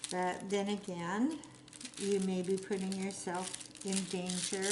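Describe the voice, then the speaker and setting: A woman's medium-pitched, fairly slow monotone with flat intonation, amid noticeable background noise and audible room echo. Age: 60s. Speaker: hobby crafter vlogger. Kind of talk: casual chat while crafting. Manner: chatty, meandering.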